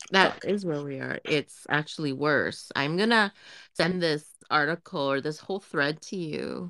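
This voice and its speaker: With vocal fry and a very deep, low pitch, a woman speaks at a fairly slow pace with ordinary pitch variation in a very clean recording against a silent background. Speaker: podcast co-host. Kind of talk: casual chat.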